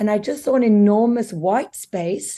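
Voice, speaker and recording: Against a quiet background, a woman speaks at medium pitch with a dark, mellow tone and ordinary pitch variation. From South Africa. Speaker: beauty business founder. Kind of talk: interview. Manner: animated.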